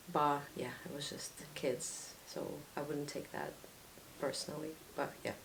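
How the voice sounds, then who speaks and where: A fairly slow, monotone, flat delivery in a Russian accent, with long, frequent pauses and audible room echo. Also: woman, very deep, low pitch for a woman. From Latvia. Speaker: student. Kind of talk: interview.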